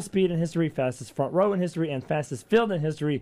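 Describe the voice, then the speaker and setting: Fairly high in pitch, a man speaks with a dark, mellow tone. He goes at a very fast pace with ordinary pitch variation. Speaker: radio host. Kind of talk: casual chat. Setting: studio.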